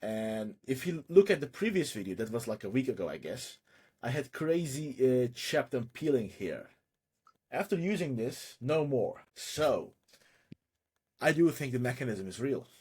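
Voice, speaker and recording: Somewhat breathy, a man at medium pitch speaks at a moderate pace with lively intonation. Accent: non-native. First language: not English. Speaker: online seller doing market research. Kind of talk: live screen-share research session. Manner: casual, thinking aloud with self-interruptions.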